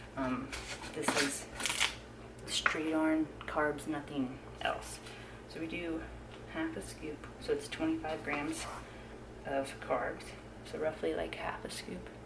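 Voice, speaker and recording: A woman whispering at a very slow pace with long, frequent pauses, amid noticeable background noise and audible room echo. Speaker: fitness trainer and vlogger. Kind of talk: casual vlog narration. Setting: at home, early morning.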